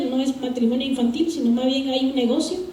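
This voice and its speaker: Amid audible room echo and noticeable background noise, a woman speaks at a high pitch with ordinary pitch variation. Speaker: civil society activist, audience member. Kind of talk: audience question at panel. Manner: halting, many fillers.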